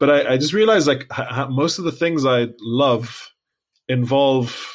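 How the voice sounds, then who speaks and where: At a moderate pace, a man speaks with a Lebanese accent. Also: very clean recording, silent background. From Lebanon. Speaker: podcast co-host. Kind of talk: casual chat.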